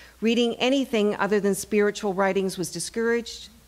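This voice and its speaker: This woman has an ordinary speaking voice. Her intonation stays fairly even. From Canada. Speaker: actress and storyteller. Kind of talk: live personal storytelling.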